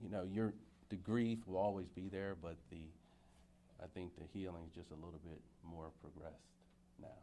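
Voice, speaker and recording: Heard with audible room echo, a man with a very deep, low pitch and a dark, mellow tone speaks at a moderate pace with fairly even intonation, big swings in loudness and long, frequent pauses. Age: 50s. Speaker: murder victim's child. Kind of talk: press conference remarks. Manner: halting.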